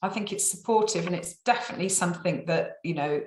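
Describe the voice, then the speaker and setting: A woman at medium pitch speaks with an English accent, with audible room echo in the recording. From England. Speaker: survey company staff member. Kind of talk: client testimonial interview. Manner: hesitant, many fillers and repeats.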